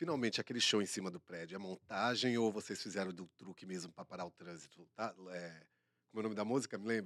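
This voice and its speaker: A very fast-talking man with a Bahian accent and a very deep, low pitch, big swings in loudness, and a dry, close sound with no echo. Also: ordinary pitch variation. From Bahia, Brazil. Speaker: co-host. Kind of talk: casual chat.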